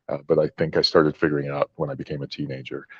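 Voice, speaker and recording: A man's very deep, low voice with vocal fry, monotone, flat intonation and an American accent. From Egypt, later Utah from age 13. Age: 40s. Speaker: tech entrepreneur. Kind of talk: interview.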